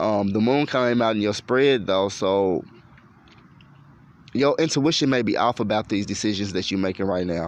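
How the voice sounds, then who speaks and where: The pitch of the man's voice varies in an ordinary way. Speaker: tarot reader. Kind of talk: tarot reading monologue. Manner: fast; animated.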